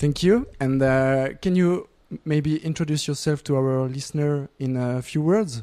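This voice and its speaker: In a French accent, a man speaks with a dark, mellow tone and fairly high pitch. His pace is fairly slow, with ordinary pitch variation. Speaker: student radio interviewer. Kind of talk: interview. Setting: music festival.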